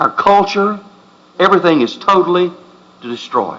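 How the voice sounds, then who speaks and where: Here a man talks with a Southern US accent. His pitch is high, and noticeable background noise runs underneath. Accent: Southern drawl. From US South. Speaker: pastor. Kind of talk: sermon. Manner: impassioned.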